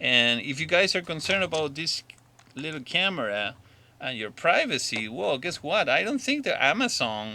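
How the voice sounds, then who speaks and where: Using very wide pitch swings, a man speaks in a bright, sharp tone with a non-native accent. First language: not English. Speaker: drone hobbyist vlogger. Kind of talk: opinion monologue. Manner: halting.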